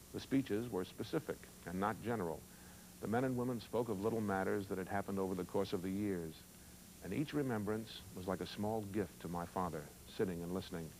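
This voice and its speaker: In an unremarkable speaking voice, a man talks at a fairly quick pace, fairly low in pitch with ordinary pitch variation. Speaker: actor. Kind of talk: monologue reading of a newspaper column, aired as a television interstitial. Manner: reflective, measured, sincere.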